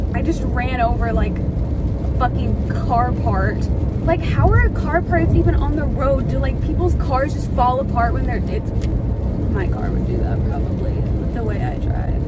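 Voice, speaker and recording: Loud background noise accompanies a woman recorded in a dry sound with no echo. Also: moderate pace. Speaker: driver vlogger. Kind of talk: casual vlog chat. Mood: chatty, sarcastic. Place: car. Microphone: phone near.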